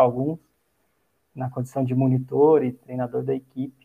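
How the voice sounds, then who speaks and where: A man talks with monotone, flat intonation. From Brazil, Minas Gerais (Itajubá). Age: 30s. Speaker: athletics coach and sports science researcher. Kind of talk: casual interview.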